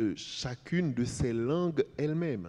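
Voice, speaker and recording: A man's very slow delivery in a dark, mellow tone, with ordinary pitch variation and a quiet background. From Haiti, Port-au-Prince. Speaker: writer. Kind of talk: panel discussion. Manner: halting.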